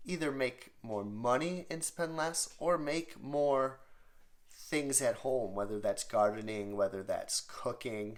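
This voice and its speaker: Lively in intonation and fairly high in pitch, a man talks at a very slow pace. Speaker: vlogger. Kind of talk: casual vlog monologue. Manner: hesitant, filler-heavy.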